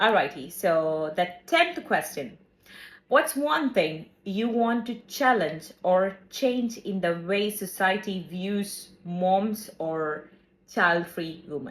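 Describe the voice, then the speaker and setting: A woman speaks at a very slow pace with lively intonation. Her pitch sits in the medium range. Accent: non-native. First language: not English. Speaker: podcast co-host. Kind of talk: casual chat.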